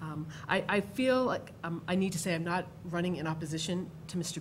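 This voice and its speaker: With light background noise, a woman talks at a fairly quick pace in a somewhat breathy voice. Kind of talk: formal meeting statement. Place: hall. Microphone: podium.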